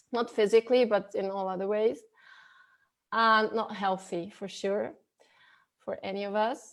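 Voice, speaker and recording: A woman with a non-native accent, fairly high pitch, fairly even intonation and long, frequent pauses on a very clean recording with a silent background. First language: not English. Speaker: spiritual coach. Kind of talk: interview. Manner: halting, with many repetitions.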